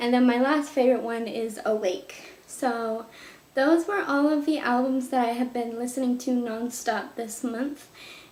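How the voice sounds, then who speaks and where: A woman's high voice at a fairly slow pace with ordinary pitch variation, plus audible room echo and noticeable background noise. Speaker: music youtuber. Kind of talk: casual monologue to camera. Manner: animated.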